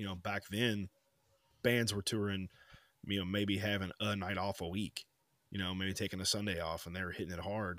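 At a moderate pace, a man with a fairly low pitch speaks in a monotone, flat intonation, with long, frequent pauses. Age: 30s. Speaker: podcast co-host. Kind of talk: casual chat.

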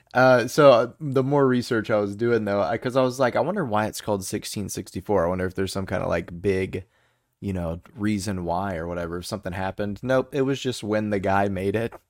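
A man's plain, everyday voice with an American accent, fairly low in pitch, ordinary pitch variation and a fairly quick pace, in a very clean recording with a silent background. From United States. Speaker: beer podcast co-host. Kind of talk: casual chat.

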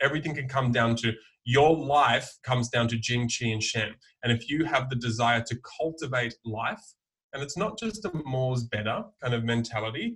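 A man with an Australian accent speaks at a moderate pace, his medium pitch showing ordinary variation. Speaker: herbalist. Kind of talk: casual chat. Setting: video call.

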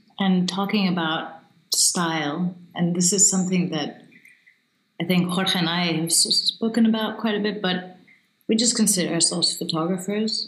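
Through audible room echo, a woman speaks at a medium pitch and a moderate pace with fairly even intonation and long, frequent pauses. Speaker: photographer and photography coach. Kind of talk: casual interview. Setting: video call. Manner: talkative.

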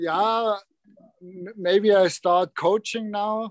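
In a strong German accent, a man speaks at a very slow pace, the sound dry and close with no echo. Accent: German-accented English, fairly strong. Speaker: hockey player. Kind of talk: casual chat.

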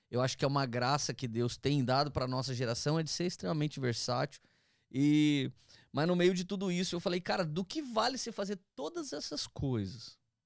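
A normal speaking voice moves at a fairly quick pace with lively intonation. The recording is very clean, with a silent background. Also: man, fairly high pitch for a man. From interior of São Paulo state, Brazil (Taubaté/Tremembé). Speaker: pastor. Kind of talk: casual chat, testimony.

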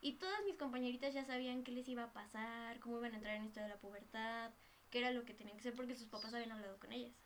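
A very fast, fairly high-pitched woman's voice in a Mexican accent, with fairly even intonation and noticeable background noise. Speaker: podcast guest. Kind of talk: casual chat.

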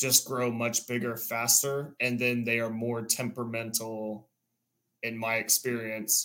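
A man speaks at a medium pitch with a bright, sharp tone. His intonation is monotone and flat, and his pace is fairly slow. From Central Texas. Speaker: tournament angler. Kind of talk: casual chat.

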